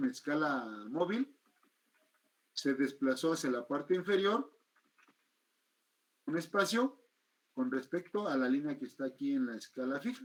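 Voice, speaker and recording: Here a man talks at a moderate pace in a fairly high voice. His pitch swings very widely. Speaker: teacher. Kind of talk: lecture.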